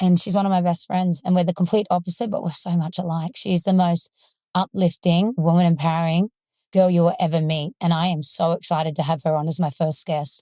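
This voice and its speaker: A woman speaks at a fairly quick pace with an Australian accent, her pitch fairly low. The tone is dark and mellow, and the sound is dry and close with no echo. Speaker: podcast host. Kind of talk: casual chat. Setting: in a parked car. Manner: animated.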